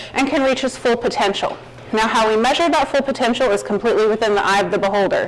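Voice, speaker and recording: Lively intonation and a slight Arkansas accent come through over noticeable background noise and audible room echo. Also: woman. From Arkansas, Fayetteville. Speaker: plant pathologist, guest lecturer. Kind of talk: lecture.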